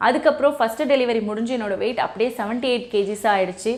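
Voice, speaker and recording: This woman has a normal speaking voice, pitched fairly high. Her pitch varies in an ordinary way. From Chennai, India. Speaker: weight-loss YouTuber. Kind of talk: motivational talk.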